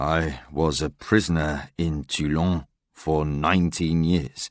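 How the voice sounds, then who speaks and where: A man's put-on character voice at a very slow pace, dry and close with no echo, on a very clean recording with a silent background. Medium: read story.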